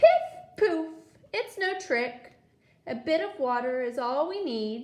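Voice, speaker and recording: The pace is fairly slow. A put-on character voice carries the speech. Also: woman, high pitch for a woman. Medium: read story. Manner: coaxing, playful.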